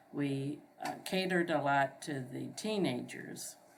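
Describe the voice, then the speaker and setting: Room echo is audible as a woman speaks with an American accent. Her pitch is very deep and low, with ordinary variation. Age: 60s. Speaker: local resident recalling the past. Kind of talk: oral history interview. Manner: hesitant, many fillers.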